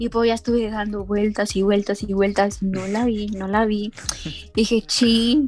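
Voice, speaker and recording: Speech moves at a fairly slow pace over noticeable background noise. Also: woman, fairly high pitch for a woman. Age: 20s. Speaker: university student. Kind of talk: casual chat. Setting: call. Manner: animated.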